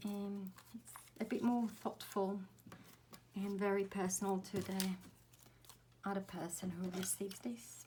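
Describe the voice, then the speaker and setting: A woman whispers quietly and somewhat breathily. She goes at a fairly slow pace with long, frequent pauses. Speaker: craft tutorial creator. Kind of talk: tutorial. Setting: at home, early morning. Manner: whispering, quiet.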